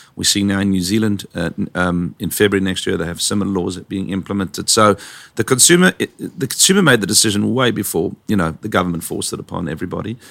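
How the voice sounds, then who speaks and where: At a very fast pace, a man with a fairly low voice keeps his intonation fairly even. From South Africa, Johannesburg. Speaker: packaging company founder. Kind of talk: interview. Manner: halting.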